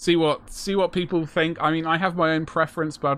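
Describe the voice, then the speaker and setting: In a British accent, a man speaks at a fairly high pitch. His pace is fairly quick, and the background is quiet. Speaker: miniature painting streamer. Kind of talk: live stream casual chat. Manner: fast.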